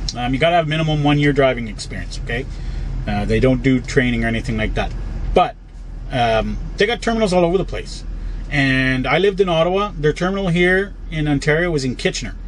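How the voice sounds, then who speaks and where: A man races along at a very fast pace, light background noise underneath. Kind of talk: casual vlog chat. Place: car. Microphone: phone near.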